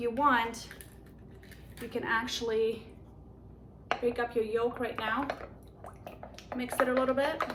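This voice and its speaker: Against noticeable background noise, a woman with a high pitch talks fairly slowly in a monotone, flat intonation, with long, frequent pauses. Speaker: home cook, cooking channel host. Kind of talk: cooking tutorial. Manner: casual, conversational.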